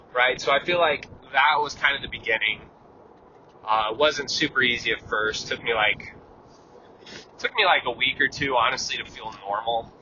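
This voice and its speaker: Noticeable background noise sits behind a man talking at a moderate pace and medium pitch. His pitch varies in an ordinary way, broken by long, frequent pauses. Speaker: vlogger. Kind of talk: casual monologue. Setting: in a car. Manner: calm.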